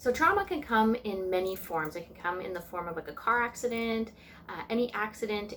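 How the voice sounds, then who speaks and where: Speaking at a fairly quick clip, a woman with a Canadian Prairie accent uses a medium pitch and ordinary pitch variation. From Canadian Prairies. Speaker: tarot reader and spiritual vlogger. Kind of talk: casual vlog talk. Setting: at home, sitting on the floor.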